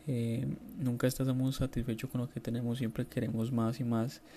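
A somewhat breathy, dark, mellow tone with monotone, flat intonation at a fairly quick pace. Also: man. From Colombia. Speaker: listener sending voice message. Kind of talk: recorded voice message.

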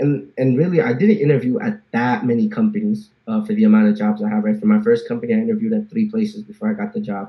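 Speaking very fast with hardly any pauses, a man talks in a New Jersey accent. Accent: New Jersey American. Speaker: software engineer. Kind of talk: casual interview chat.

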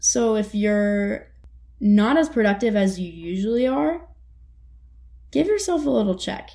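With long, frequent pauses, a woman speaks in a dark, mellow, somewhat breathy tone, her pitch swinging very widely. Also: medium pitch for a woman, fairly slow pace. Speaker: podcast host, college student. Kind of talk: casual solo monologue.

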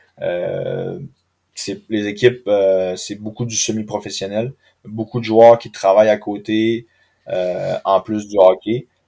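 A fairly slow pace and fairly even intonation on a very clean recording with a silent background. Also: man. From Quebec, Saguenay (Chicoutimi). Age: 30s. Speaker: professional hockey player. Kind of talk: interview.

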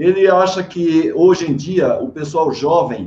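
A man is speaking at a high pitch. His pace is very slow. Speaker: live-stream host, management and quality. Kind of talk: online interview. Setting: video call live stream.

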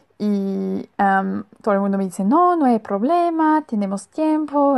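This woman talks fairly slowly. She has a German accent. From Germany. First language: German (speaking Spanish). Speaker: Spanish student. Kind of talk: recorded monologue. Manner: halting.

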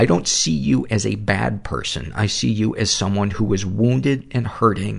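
A man talks at a moderate pace in a fairly low pitch, with vocal fry in his voice. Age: 50s. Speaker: podcast host. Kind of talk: casual interview.

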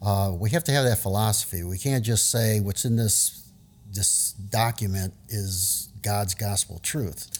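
A somewhat breathy man with an American accent talks at a fairly slow pace and fairly low pitch, with ordinary pitch variation. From US South, New Orleans. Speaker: retiring school district educator. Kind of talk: casual interview.

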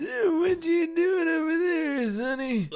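A put-on character voice rises to an extremely high pitch. It crawls along at a very slow pace.

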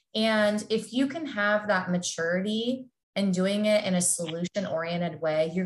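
Speaking with an American accent, a woman sounds somewhat breathy with lively intonation. She moves at a moderate pace. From Southern California. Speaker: sports dietitian. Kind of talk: casual interview.

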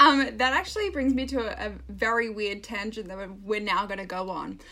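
Noticeable background noise sits behind this recording. A woman talks at a moderate pace with an Australian accent. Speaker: podcast co-host. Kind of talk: casual chat. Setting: remote recording. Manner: animated.

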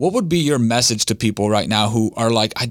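An unremarkable speaking voice with ordinary pitch variation, at a fairly quick pace. The recording is very clean with a silent background and a dry, close sound with no echo. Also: man. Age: 30s. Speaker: podcast host. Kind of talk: interview.

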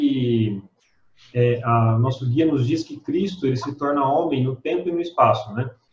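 A man's voice is somewhat breathy, and his pitch varies in an ordinary way. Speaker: Bible study participant. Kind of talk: Bible study discussion.

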